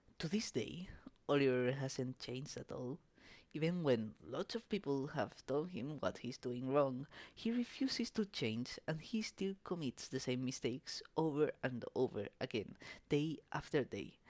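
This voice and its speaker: Speaking fairly slowly, this voice carries a non-native accent. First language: not English. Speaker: YouTube commentary narrator. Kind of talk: scripted narration.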